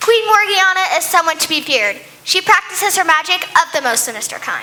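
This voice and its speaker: In a put-on character voice, the speaker goes at a fairly quick pace with an extremely high pitch. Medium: stage play.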